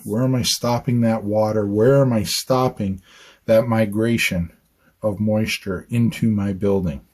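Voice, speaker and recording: A man speaks at medium pitch and a fairly slow pace. His pitch varies in an ordinary way. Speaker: architect. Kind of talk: on-site educational talk. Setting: outdoors on a job site. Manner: conversational, repetitive emphasis.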